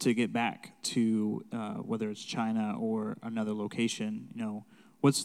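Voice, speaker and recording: Talking at a fairly slow pace, a man with a medium pitch and a dark, mellow tone keeps a monotone, flat intonation. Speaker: church host. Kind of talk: casual chat.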